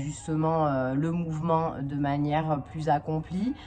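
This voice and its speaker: A woman speaks at a very slow pace. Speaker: fitness coach and vlogger. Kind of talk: casual vlog. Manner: soft-spoken.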